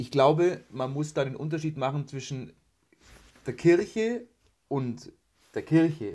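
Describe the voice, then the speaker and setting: Male voice, dark and mellow in tone, somewhat breathy, showing ordinary pitch variation. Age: 20s. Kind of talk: casual interview.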